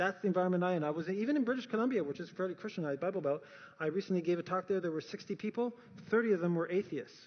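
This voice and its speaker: An animated tone with a Canadian accent, lively intonation and a very fast pace. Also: man. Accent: noticeable Canadian. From Canada. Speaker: speaker on science and faith. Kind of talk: talk to an audience.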